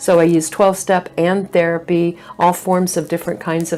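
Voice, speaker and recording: Over noticeable background noise, a woman speaks at a fairly low pitch. Her pace is fairly quick and her intonation monotone and flat. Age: 60s. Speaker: minister and counselor. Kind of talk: interview conversation. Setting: church. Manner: halting, many fillers.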